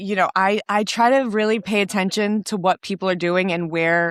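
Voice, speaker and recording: Dry and close with no echo on a very clean recording with a silent background, a woman with an ordinary speaking voice talks at a fairly slow pace, medium pitch and ordinary pitch variation. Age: 30s. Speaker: podcast host, fitness trainer. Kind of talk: casual chat.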